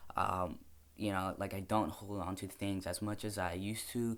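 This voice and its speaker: Recorded very cleanly against a silent background, a man speaks at a fairly low pitch and a moderate pace. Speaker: vlogger. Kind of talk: casual vlog update. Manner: casual, hesitant with fillers.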